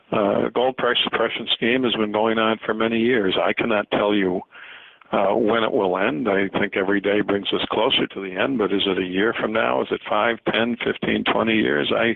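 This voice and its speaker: Noticeable background noise surrounds a man speaking at a moderate pace. His pitch is fairly low, with ordinary variation. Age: 60s. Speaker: gold market analyst. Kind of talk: interview. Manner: halting, many fillers.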